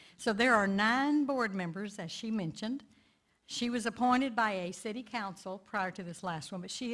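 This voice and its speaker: A woman speaks in a Texan accent with a fairly high pitch and lively intonation. The recording is very clean, with a silent background. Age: 70s. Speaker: community activist. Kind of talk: lay sermon talk.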